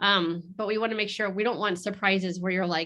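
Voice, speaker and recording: The tone is bright and sharp against a quiet background. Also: woman. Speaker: realtor. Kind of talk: presentation. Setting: video call webinar. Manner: fast; casual, filler-heavy.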